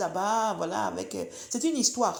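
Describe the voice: The voice has vocal fry, a slightly mellow tone and lively intonation. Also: woman.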